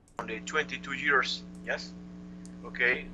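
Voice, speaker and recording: With a Cuban accent, a man speaks at a fairly slow pace. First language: Spanish. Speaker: chess master. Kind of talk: interview answer. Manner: lively.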